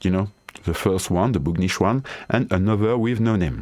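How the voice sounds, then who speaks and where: A man speaks with a French accent. His pitch is fairly low. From France. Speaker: DIY tinkerer and tool developer. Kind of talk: software tutorial. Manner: halting, hesitant non-native English.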